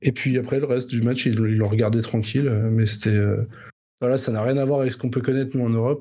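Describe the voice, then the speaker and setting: A man's somewhat breathy, dark, mellow voice at medium pitch, monotone and flat, at a moderate pace. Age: 30s. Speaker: podcast co-host. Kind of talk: casual chat.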